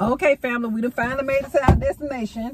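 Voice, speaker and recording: The speaker is a woman with ordinary pitch variation. Her voice sounds dry with no echo, over light background noise. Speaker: vlogger. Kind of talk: casual vlog chat. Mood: cheerful, relaxed. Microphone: phone near.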